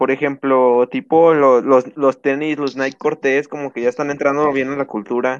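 In a dry, close recording with no echo, a man speaks at fairly high pitch with monotone, flat intonation. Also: moderate pace. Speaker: podcast co-host. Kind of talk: casual chat. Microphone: internet connection cutting out.

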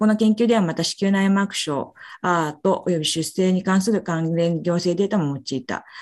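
A woman with medium pitch and ordinary pitch variation keeps to a moderate pace. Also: quiet background. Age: 40s. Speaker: physician presenting research papers. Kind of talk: journal club presentation. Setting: video call. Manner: halting, many fillers.

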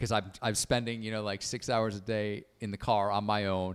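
A man with an American accent talks at a fairly slow pace in a fairly low pitch. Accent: US Northeast with occasional southern drawl. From Connecticut, US. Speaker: comedian and musician. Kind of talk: casual podcast conversation. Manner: casual, filler-heavy.

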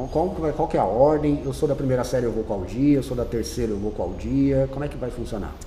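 A man talks at a fairly quick pace with hardly any pauses, his medium-pitched voice rising and falling in an ordinary way over noticeable background noise and audible room echo. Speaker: teacher and school podcast host. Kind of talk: casual interview.

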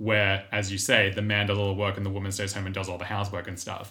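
In a very clean recording with a silent background, a man with an Australian accent speaks in a bright, sharp tone at a fairly low pitch. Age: 30s. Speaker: podcast co-host and actor. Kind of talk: casual chat.

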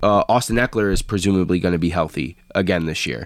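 At a fairly quick pace, a man speaks in a fairly low voice with ordinary pitch variation. He has an ordinary speaking voice. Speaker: podcast host. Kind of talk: casual sports banter.

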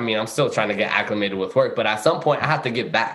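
A man speaks with an American accent and a bright, sharp tone. Room echo is audible around him. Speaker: recent graduate, corporate professional. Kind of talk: casual chat.

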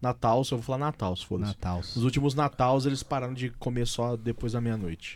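This man has an ordinary speaking voice at a medium pitch. He moves at a fairly quick pace with ordinary pitch variation. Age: 20s. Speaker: podcast host. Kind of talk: casual chat.

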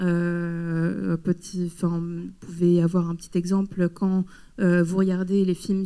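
Her tone is dark and mellow. This woman's pitch sits fairly low. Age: 30s. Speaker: photographer. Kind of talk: public talk interview. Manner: halting.

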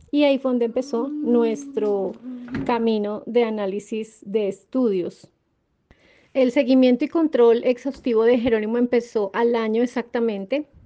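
Fairly even intonation from a woman at a fairly high pitch, her pace fairly slow. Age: 40s. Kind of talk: interview testimony. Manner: hesitant fillers.

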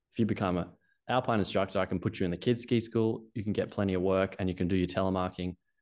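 A man talks very fast in an Australian accent, his pitch very deep and low. His intonation is fairly even, against a quiet background. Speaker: ski coaching founder. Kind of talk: casual interview chat.

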